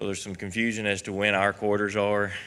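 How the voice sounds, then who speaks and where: With a Kentucky accent, a man speaks at a fairly low pitch. His pace is moderate. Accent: West Kentucky. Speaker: county alcohol beverage control administrator. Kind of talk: quarterly report to a public meeting. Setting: county government meeting. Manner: hesitant, many fillers.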